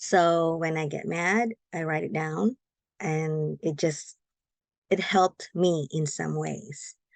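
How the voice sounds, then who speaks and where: A woman with a Filipino accent speaks at a very slow pace and a fairly low pitch, in a dry, close sound with no echo. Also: ordinary pitch variation. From Philippines. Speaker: guest. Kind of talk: interview. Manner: halting.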